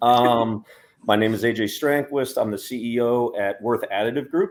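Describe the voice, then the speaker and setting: With fairly even intonation, a man talks in an American accent. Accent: American, stands out among Europeans. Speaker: startup CEO. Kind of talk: panel discussion.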